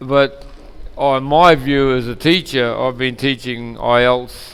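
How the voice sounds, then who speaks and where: Talking at a fairly slow pace, a man has a New Zealand accent. His intonation stays fairly even while his loudness swings widely. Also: medium pitch for a man. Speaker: English teacher. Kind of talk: online language lesson.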